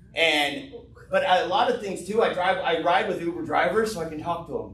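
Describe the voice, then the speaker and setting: A man with a high pitch and an American accent talks with lively intonation, with audible room echo and noticeable background noise around him. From Texas, Fort Worth. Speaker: business owner presenting an opportunity. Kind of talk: business presentation with Q&A. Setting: live event with audience, streamed on Zoom and Facebook. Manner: fast; animated.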